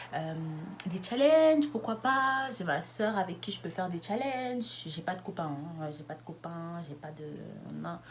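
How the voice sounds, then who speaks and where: The woman's pitch swings very widely, and noticeable background noise is present. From France, Lyon. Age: 20s. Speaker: YouTuber. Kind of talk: casual vlog monologue. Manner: fast.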